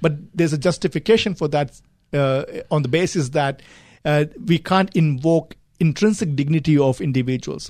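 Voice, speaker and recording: This man's voice is fairly high and somewhat breathy. He moves at a moderate pace, and his pitch varies in an ordinary way. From India. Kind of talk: radio talk show discussion. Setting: radio studio.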